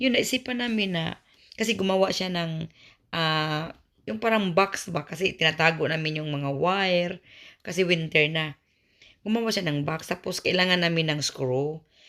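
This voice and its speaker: A woman's ordinary speaking voice, fairly low in pitch, with ordinary pitch variation at a moderate pace. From Visayas, Philippines. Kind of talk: casual vlog talk to camera.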